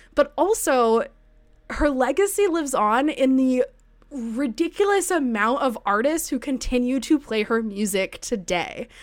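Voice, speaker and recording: A woman speaks in an animated tone with lively intonation and a high pitch. Her pace is fairly slow, and the recording is very clean with a silent background. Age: 30s. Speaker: podcast host. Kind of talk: casual chat.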